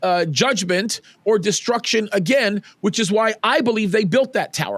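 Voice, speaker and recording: A man speaks with an American accent. His voice is loud. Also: dry, close sound with no echo. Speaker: pastor. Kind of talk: interview conversation. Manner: halting with repetitions.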